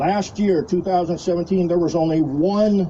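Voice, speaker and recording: Moderately paced, a man speaks in an ordinary speaking voice, fairly high in pitch with ordinary pitch variation. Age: 60s. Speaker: retired army officer speaking at a rally. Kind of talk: impromptu rally speech.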